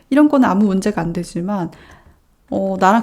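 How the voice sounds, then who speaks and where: A woman's dark, mellow voice at a fairly quick pace, with lively intonation. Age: 30s. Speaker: web novelist and vlogger. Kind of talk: casual talk to camera.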